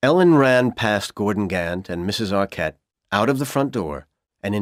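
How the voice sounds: The intonation is lively in a natural reading voice. Behind it, things stay quiet.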